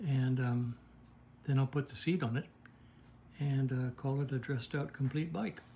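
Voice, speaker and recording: At a moderate pace, a man with a medium pitch and a somewhat breathy voice speaks with fairly even intonation and long, frequent pauses. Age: 80s+. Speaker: vintage motorcycle mechanic. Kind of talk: workshop video log. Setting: in his motorcycle workshop. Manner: casual, halting with fillers.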